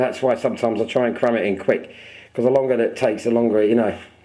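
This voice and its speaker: In an English accent, a man talks at medium pitch with a dark, mellow tone and fairly even intonation. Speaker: model aircraft builder. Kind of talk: workshop tutorial. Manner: fast; casual, chatty.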